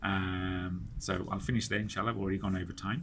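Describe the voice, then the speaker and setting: There is vocal fry in this man's voice, with ordinary pitch variation and audible room echo. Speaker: Islamic study circle teacher. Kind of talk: lecture. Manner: halting, many fillers and repetitions.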